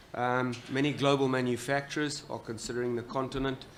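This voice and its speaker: The voice comes at a fairly quick pace in a monotone, flat intonation. Noticeable background noise runs underneath. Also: man. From Southern Africa. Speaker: panel moderator. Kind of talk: panel moderation.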